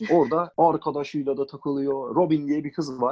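A man speaks with a dark, mellow tone at a fairly high pitch. His pace is moderate. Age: 30s. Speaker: podcast guest. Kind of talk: casual chat.

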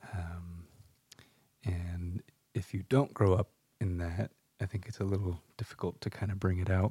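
Very deep and low, a man's voice carries a dark, mellow tone and is somewhat breathy, with an American accent. His intonation is fairly even, broken by long, frequent pauses. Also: moderate pace. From US West Coast (San Luis Obispo, California). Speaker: podcast co-host. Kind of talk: casual chat.

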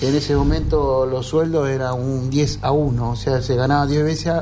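A man at a moderate pace and medium pitch, fairly even in intonation, with music in the background and audible room echo. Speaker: fisherman. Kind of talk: interview.

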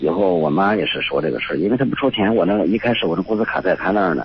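Over noticeable background noise, a man with a very deep, low voice talks at a fairly quick pace with ordinary pitch variation. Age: 50s. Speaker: retired factory worker, caller. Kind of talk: call-in advice conversation. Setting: phone call. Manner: halting, many fillers.

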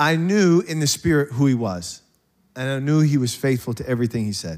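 A man speaks fairly quickly in a plain, everyday voice, his pitch varying in an ordinary way. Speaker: pastor. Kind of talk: sermon. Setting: church.

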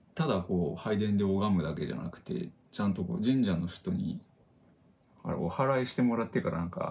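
A man with an unremarkable speaking voice talks at a fairly quick pace. His pitch sits fairly low, with lively intonation. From Japan, northern Saitama. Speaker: podcast co-host. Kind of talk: casual chat.

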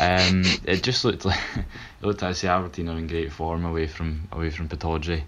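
Over music in the background, a man with a Scottish accent and a very deep, low pitch speaks at a fairly quick pace with fairly even intonation. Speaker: football panelist. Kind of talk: casual chat.

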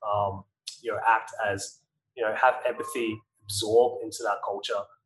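The speaker is a man with an Australian accent. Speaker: podcast host. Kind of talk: interview conversation. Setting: video call.

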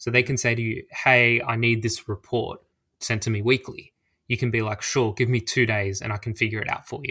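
Over a very clean recording with a silent background, a man speaks with an Australian accent at a fairly quick pace. His medium-pitched voice stays monotone and flat. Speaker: social media personality. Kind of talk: podcast interview.

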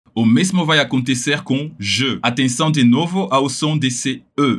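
With a French accent, a man speaks fairly slowly at medium pitch, using lively intonation and vocal fry. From France, Paris. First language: French (speaking Portuguese). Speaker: language teacher. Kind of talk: pronunciation tutorial.

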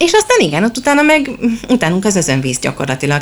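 A woman speaks over noticeable background noise. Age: 30s. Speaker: children's book blogger and mother. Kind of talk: interview. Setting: bookshop.

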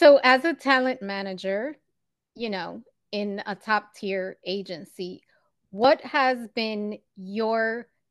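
A woman speaks in a medium pitch with ordinary pitch variation and an animated, enthusiastic tone. The background is quiet. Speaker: podcast host. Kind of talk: casual interview chat.

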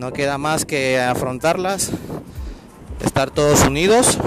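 With music in the background, a man speaks at a fairly slow pace in a fairly high pitch, showing ordinary pitch variation. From Ecuador. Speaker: amateur podcaster. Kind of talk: casual monologue. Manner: halting.

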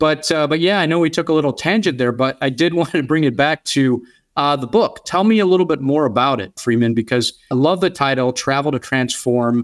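A man talks in a plain, everyday voice, pitched fairly high with ordinary pitch variation. He leaves hardly any pauses. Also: fairly quick pace, very clean recording, silent background. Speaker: podcast host. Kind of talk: interview.

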